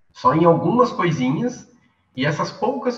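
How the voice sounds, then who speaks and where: With very wide pitch swings, a man talks in a high register. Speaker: media artist and master's student. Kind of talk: online workshop talk. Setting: video call. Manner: halting.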